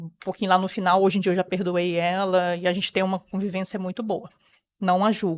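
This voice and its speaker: At a fairly quick pace, a woman speaks in a medium pitch with monotone, flat intonation. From Brazil, rural Rio de Janeiro state (Campos dos Goytacazes area). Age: 30s. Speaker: interview guest sharing life story. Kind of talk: personal testimony.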